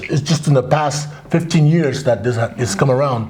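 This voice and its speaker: A man speaks at a fairly quick pace in a fairly high pitch. Noticeable background noise sits behind him. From Crow Indian Reservation, Montana, US. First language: Crow. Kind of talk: interview.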